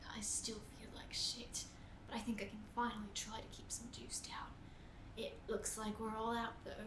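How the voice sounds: In a put-on character voice, a female-sounding speaker whispers hoarsely at a moderate pace over loud background noise.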